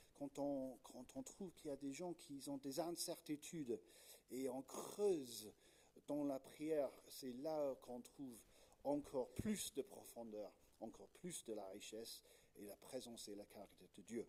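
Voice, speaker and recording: Speaking fairly slowly with a slight British accent, a man has a fairly high pitch and a dark, mellow tone. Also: lively intonation. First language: English (speaking French). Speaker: Anglican pastor. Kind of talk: sermon. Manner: hesitant, many fillers.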